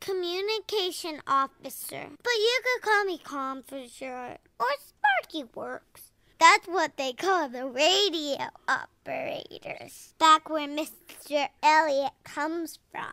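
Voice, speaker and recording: A woman's put-on character voice, extremely high in pitch and fairly slow, with big swings in loudness and a dry, close sound free of echo. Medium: audio drama. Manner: bubbly, enthusiastic.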